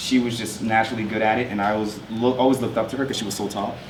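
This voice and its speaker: A man with a New York accent at a very fast pace, amid audible room echo and noticeable background noise. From New York, Long Island (Westbury). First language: French. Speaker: artist. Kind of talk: talk with slides. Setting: school presentation to artists' guild.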